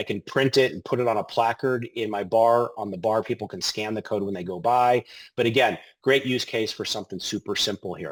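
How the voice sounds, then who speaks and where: Fairly quick male speech at medium pitch with an American accent, ordinary pitch variation and a dry, close sound with no echo. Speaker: payment technology product presenter. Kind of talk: webinar product demo. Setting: online webinar. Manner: fast; casual, filler-heavy.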